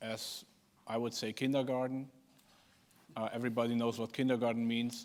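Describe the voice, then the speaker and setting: In a German accent, a man talks at a fairly quick pace with long, frequent pauses, a medium pitch and monotone, flat intonation. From Germany. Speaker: politician. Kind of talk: panel discussion opening remarks. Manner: halting.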